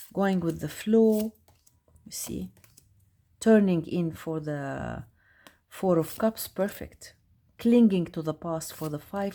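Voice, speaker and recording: Speaking very slowly with long, frequent pauses, a woman with a non-native accent uses a dark, mellow tone at a fairly low pitch, with lively intonation and big swings in loudness. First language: not English. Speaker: tarot youtuber. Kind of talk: casual product review. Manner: halting; animated.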